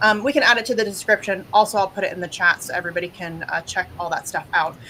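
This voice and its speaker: The speech comes at a very fast pace with ordinary pitch variation. Noticeable background noise runs underneath. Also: woman, medium pitch for a woman. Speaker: activist show host. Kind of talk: guest introductions on a live show. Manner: many filler words (um, uh).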